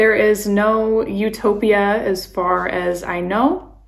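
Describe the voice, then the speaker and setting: A woman's fairly high voice with an American accent, with noticeable background noise and audible room echo. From California, San Francisco Bay Area. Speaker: vlogger, expat and nurse. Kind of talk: casual vlog talk.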